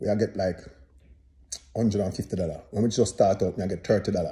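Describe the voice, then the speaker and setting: A man with a Jamaican accent talks at a fairly quick pace, his pitch fairly low and his tone dark, mellow and somewhat breathy. The background is quiet. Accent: Jamaican Patois-inflected English. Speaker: dancehall singer and commentator. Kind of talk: casual commentary monologue. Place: home room. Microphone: phone near.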